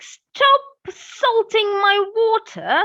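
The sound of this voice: A woman puts on a croaky character voice at an extremely high pitch.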